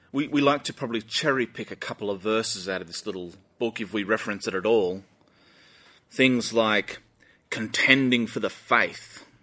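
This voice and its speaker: A man speaks with an Australian accent at a moderate pace. His medium-pitched voice has a bright, sharp tone and ordinary pitch variation. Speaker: pastor. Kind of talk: sermon. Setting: church live stream.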